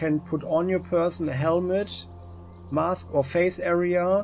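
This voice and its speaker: A man speaks with music playing in the background. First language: not English. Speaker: gaming YouTuber. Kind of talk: let's play game review commentary. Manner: halting, many fillers.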